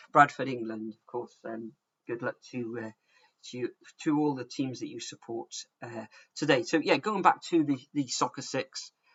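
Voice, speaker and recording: Loudness swings widely as a man talks at a moderate pace. He speaks with a Welsh accent. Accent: Welsh, some say sounds like Bristol. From South Wales. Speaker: football predictions streamer. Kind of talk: live stream chat. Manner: casual, hesitant with fillers.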